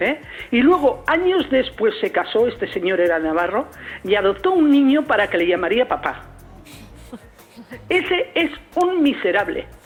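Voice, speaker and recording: Against noticeable background noise, a woman with a high voice speaks at a moderate pace, her pitch swinging very widely between long, frequent pauses. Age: 60s. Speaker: caller. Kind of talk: phone-in testimony. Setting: phone call. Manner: animated.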